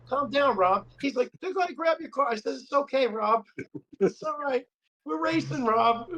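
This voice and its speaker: Loud and animated, a man speaks at a moderate pace in an extremely high pitch with very wide pitch swings and a bright, sharp tone, the sound dry and close with no echo. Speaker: RC car racer. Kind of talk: casual chat.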